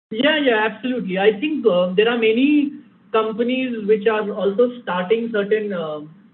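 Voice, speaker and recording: Fairly quick speech with ordinary pitch variation and audible room echo. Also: man. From India, Bengali-speaking. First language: Bengali. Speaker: game developer, guest lecturer. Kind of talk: lecture Q&A.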